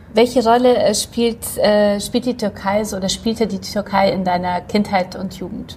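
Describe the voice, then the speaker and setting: Over noticeable background noise, a woman at a medium pitch speaks at a fairly slow pace with fairly even intonation. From Poland. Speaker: magazine publisher, podcast host. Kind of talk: interview, casual chat.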